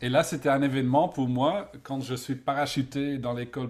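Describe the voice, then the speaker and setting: With a Dutch accent, a man speaks at a fairly slow pace and a medium pitch. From Netherlands. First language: Dutch (speaking French). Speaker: event design expert, author. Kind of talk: interview. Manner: halting, searching for words.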